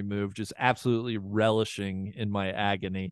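With a normal speaking voice, a man talks at a fairly quick pace in a fairly low pitch and fairly even intonation. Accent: American. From Ohio. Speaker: golf media podcaster. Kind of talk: podcast interview.

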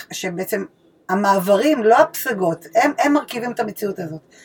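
With very wide swings in pitch, a somewhat breathy voice proceeds at a moderate pace. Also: woman. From Israel. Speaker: podcast co-host. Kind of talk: casual chat. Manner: halting, stammering at times.

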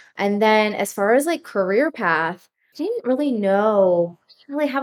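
A fairly high-pitched woman's voice with an American accent, at a moderate pace with hardly any pauses. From US Northeast, rural northern New Jersey. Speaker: wedding photographer, former teacher. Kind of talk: casual interview chat.

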